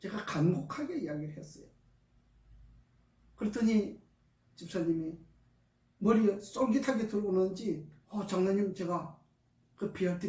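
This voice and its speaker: With audible room echo, a man speaks in a high, dark, mellow voice, his lively intonation and big swings in loudness broken by long, frequent pauses. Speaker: alternative healing practitioner. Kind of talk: testimony.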